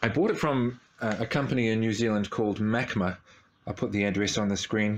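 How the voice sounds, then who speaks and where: Light background noise sits behind a man's voice. He speaks fairly quickly at a fairly low pitch. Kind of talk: casual vlog chat. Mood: pleased, enthusiastic. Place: workshop. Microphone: phone near.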